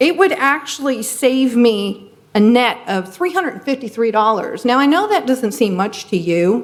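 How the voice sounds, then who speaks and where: Over noticeable background noise, a woman talks at a moderate pace in a high pitch, her voice making very wide pitch swings with hardly any pauses. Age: 60s. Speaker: resident speaking at public comment. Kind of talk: public comment at council meeting. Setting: city council meeting. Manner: unscripted.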